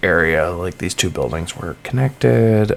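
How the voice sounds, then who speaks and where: A man's very deep, low voice comes through noticeable background noise. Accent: American. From Massachusetts. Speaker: gaming YouTuber. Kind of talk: casual gameplay commentary. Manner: casual, lots of fillers.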